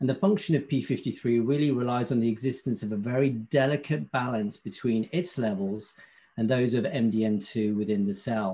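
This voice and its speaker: The man's voice has a dark, mellow tone. He moves along at a fairly quick pace. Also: medium pitch for a man, ordinary pitch variation, quiet background. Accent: British. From UK. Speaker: pharmaceutical company medical affairs representative. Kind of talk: industry presentation.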